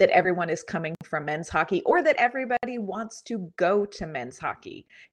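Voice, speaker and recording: Over a quiet background, a woman talks at a moderate pace in an ordinary speaking voice with ordinary pitch variation. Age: 40s. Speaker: hockey podcast co-host. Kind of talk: casual chat.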